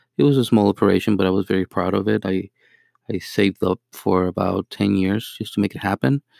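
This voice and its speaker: With a Mexican accent, a man talks at a fairly quick pace and a fairly low pitch, with ordinary pitch variation. His voice carries vocal fry, and the sound is dry and close with no echo. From Mexico. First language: Spanish. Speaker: beginner podcaster and marketing rep. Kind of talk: solo monologue, casual self-introduction. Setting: home-recorded, low quality audio. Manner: halting, many filler words.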